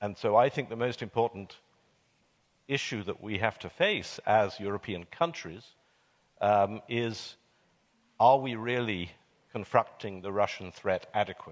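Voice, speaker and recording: A man's fairly low voice with a British accent, at a fairly slow pace with long, frequent pauses. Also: ordinary pitch variation, quiet background. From Britain. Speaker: panelist, commentator on European affairs. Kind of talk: panel discussion. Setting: stage with audience. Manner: measured, hesitant.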